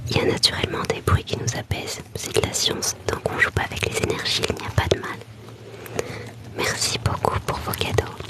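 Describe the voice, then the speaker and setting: A woman whispers over noticeable background noise. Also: moderate pace. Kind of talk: ASMR live stream chat. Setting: livestream from her bedroom. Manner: whispering; soft-spoken.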